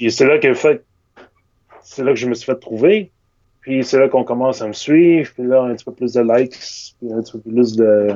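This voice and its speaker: With long, frequent pauses, a man talks at a moderate pace and medium pitch with ordinary pitch variation. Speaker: illustrator. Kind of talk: casual interview. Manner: hesitant, many fillers.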